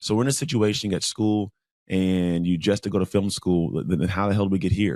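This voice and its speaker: Recorded very cleanly with a silent background and a dry, close sound with no echo, a man talks at a fairly low pitch and a fairly quick pace, with ordinary pitch variation and very even loudness. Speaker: podcast host and motivational speaker. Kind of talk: casual interview chat. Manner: fast talker.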